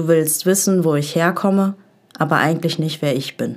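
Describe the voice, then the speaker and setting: This woman has a plain, everyday voice, fairly low in pitch, with ordinary pitch variation. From Essen, Ruhr area, Germany. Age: 20s. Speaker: poetry slam writer and social work student. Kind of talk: poetry slam performance.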